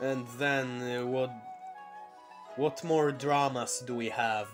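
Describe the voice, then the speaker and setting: Music plays in the background as a man speaks at a medium pitch. His pace is very slow and his intonation fairly even. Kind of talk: unscripted casual talk to camera. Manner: stuttering.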